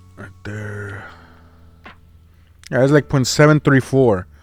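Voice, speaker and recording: With music in the background, a man talks at a medium pitch. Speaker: CAD designer and machinist. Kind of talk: casual screen-recording walkthrough.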